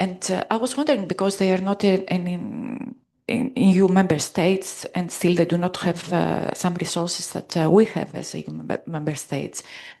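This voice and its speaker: A woman with a Greek accent talks at a moderate pace with hardly any pauses, her medium pitch showing ordinary variation. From Greece. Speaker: conference participant. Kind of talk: audience question at conference.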